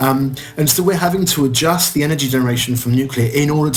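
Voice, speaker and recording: There is noticeable background noise as a man with a medium-pitched voice talks in a strong British accent. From France. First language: French. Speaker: chemist, science communicator. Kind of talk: podcast interview. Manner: hesitant, many fillers.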